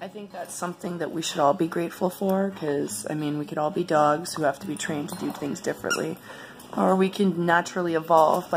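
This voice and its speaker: With noticeable background noise behind her, a woman talks very fast in a fairly low pitch with ordinary pitch variation. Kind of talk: casual talk to camera.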